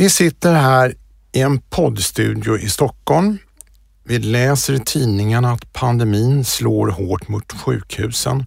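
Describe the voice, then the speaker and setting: The speaker is somewhat breathy and very slow, with lively intonation, on a very clean recording with a silent background. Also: man, medium pitch for a man. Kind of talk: interview. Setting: podcast studio.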